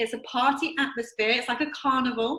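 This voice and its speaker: A woman with an English accent uses a raised, projected voice at a high pitch. Her tone is enthusiastic and her pace moderate. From England. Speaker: network marketing distributor. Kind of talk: recorded presentation video.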